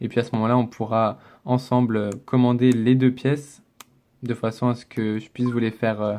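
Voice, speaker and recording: Dark, mellow tone from a man at medium pitch, with monotone, flat intonation and a fairly slow pace. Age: 20s. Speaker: gaming YouTuber. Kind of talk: casual gameplay commentary.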